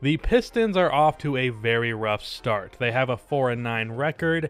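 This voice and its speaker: A man at a fairly slow pace with very wide pitch swings, dry sound with no echo and music in the background. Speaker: sports video narrator. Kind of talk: commentary.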